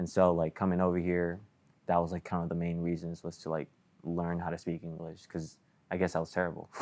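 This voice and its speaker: A man with an American accent speaks at a very deep, low pitch. His intonation is monotone and flat. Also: fairly quick pace. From Southern California. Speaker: soccer player. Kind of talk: casual chat. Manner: casual, filler-heavy.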